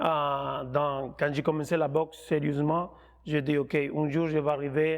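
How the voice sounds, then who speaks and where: The man's voice has a fairly high pitch and a monotone, flat intonation. He speaks at a very slow pace against a quiet background. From Colombia. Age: 30s. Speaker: professional boxer. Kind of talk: interview. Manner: halting.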